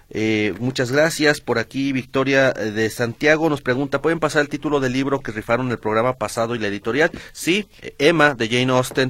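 Speaking at a moderate pace, a man has a normal speaking voice. His pitch is medium, with ordinary pitch variation. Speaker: substitute radio host. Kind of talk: radio talk show.

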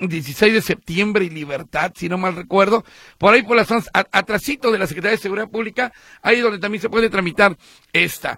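A raised, projected voice with a bright, sharp tone moves at a fairly quick pace. Pitch varies in an ordinary way, and the sound is dry and close with no echo. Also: man. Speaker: radio host. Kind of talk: call-in radio show. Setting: radio studio.

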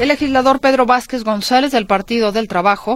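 A woman with an ordinary speaking voice, a fairly quick pace and ordinary pitch variation. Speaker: radio business show host. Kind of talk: news reading.

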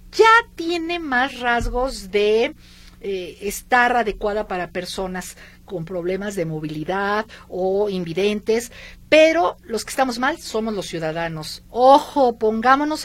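A woman at a fairly high pitch, with very wide pitch swings and a fairly slow pace. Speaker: radio host. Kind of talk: radio show chat. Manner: animated.

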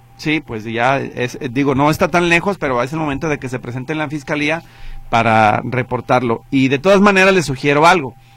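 A man's fairly high voice at a fairly quick pace. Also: ordinary pitch variation. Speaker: radio host. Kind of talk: call-in radio show. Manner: fast.

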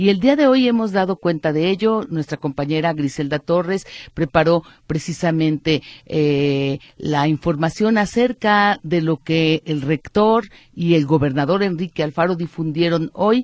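In an ordinary speaking voice, a woman with a fairly low pitch uses lively intonation, recorded with a dry, close sound and no echo. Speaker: radio host. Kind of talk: radio news talk show.

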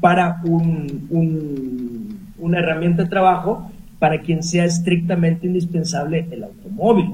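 A man with a high-pitched voice speaks at a fairly slow pace, with audible room echo and noticeable background noise. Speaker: accountant. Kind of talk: expert advice on radio.

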